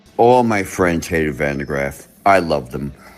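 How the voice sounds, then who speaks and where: A man speaks with a very deep, low pitch and lively intonation at a moderate pace. Noticeable background noise runs behind him. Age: 60s. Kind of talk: interview recollection.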